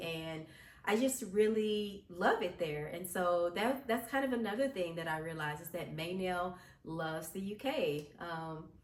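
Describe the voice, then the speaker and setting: In an American accent, a woman with medium pitch and ordinary pitch variation speaks at a fairly slow pace, with audible room echo. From US. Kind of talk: casual vlog monologue. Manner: hesitant with frequent fillers.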